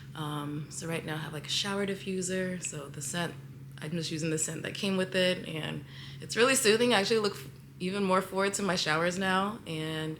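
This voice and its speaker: A woman's fairly low voice at a fairly quick pace, with ordinary pitch variation, big swings in loudness and audible room echo. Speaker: lifestyle vlogger. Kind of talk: casual vlog monologue. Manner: halting, many fillers.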